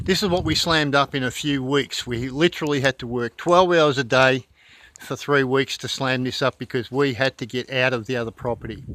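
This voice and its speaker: In an Australian accent, a man with a bright, sharp tone and medium pitch speaks fairly quickly with ordinary pitch variation. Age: 60s. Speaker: off-grid homesteader and plumber. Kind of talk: casual video tour.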